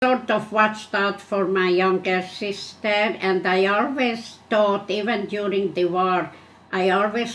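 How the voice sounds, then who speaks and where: With a Hungarian accent, a woman talks at a fairly slow pace. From Hungary. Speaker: Holocaust survivor. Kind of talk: oral history interview answer.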